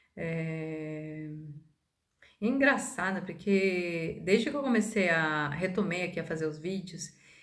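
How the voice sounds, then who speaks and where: Lively intonation at a very slow pace comes through with audible room echo. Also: woman, fairly low pitch for a woman. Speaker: holistic therapist and spiritual video maker. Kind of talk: casual monologue to camera. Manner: hesitant, many fillers.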